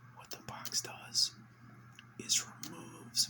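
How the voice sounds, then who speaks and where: Male whispering over noticeable background noise. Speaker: ASMR creator. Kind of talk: casual whispered rant to camera. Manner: whispered.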